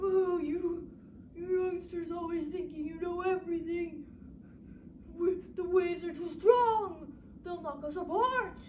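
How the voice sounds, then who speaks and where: A put-on character voice at an extremely high pitch, at a fairly slow pace with long, frequent pauses and clear background noise. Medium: read story. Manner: scolding.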